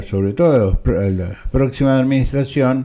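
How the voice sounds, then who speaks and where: Over noticeable background noise, a man at medium pitch speaks with lively intonation. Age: 60s. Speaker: political commentator, former constitutional law teacher. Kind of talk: personal video commentary.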